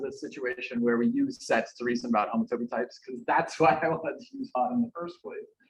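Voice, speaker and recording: A man's fairly high-pitched voice at a fairly quick pace, with very wide pitch swings. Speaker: academic speaker at a conference. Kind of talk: conference talk. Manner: fast; halting, many fillers.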